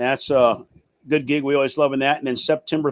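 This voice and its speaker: A man speaks at a fairly high pitch with ordinary pitch variation. The sound is dry and close, with no echo. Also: very clean recording, silent background. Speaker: host of a music talk show and band musician. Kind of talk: casual live show chat. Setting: home studio video stream. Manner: halting, many fillers.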